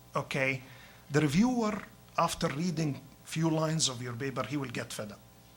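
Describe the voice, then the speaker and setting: A man speaks in a fairly high voice. His intonation is lively. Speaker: professor. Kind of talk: lecture. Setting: hospital grand rounds talk. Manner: halting, with fillers.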